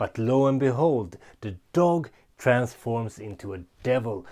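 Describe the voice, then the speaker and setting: Lively intonation comes through on a very clean recording with a silent background. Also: man. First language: not English. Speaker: book reviewer. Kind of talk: book review vlog. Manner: casual, some hesitations.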